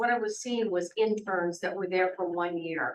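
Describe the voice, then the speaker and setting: At a moderate pace and with ordinary pitch variation, a woman speaks over noticeable background noise. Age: 70s. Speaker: resident speaking at public comment. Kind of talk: public comment at town meeting. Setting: city hall meeting.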